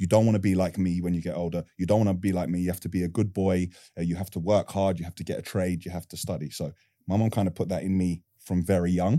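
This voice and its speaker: A man with a London accent talks at a very fast pace in a very deep, low voice with a dark, mellow tone. His intonation is monotone and flat, in a very clean recording with a silent background. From Northwest London. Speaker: construction business owner. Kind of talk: interview.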